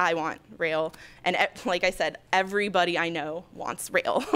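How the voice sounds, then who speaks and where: In a very clean recording with a silent background, a woman with a fairly low pitch speaks at a fairly slow pace. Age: 20s. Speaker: public commenter, graduate planning student. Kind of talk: public comment at board meeting. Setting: public board meeting. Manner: halting, many fillers.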